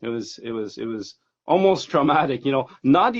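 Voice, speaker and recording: A man with a slight French Canadian accent talks at a fairly quick pace, his medium-pitched voice carrying lively intonation. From Quebec, Montreal. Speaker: hobby grower. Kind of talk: casual interview. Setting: Instagram live video stream.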